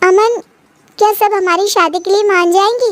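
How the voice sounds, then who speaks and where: A woman's put-on character voice, extremely high in pitch, at a moderate pace with fairly even intonation. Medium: read story.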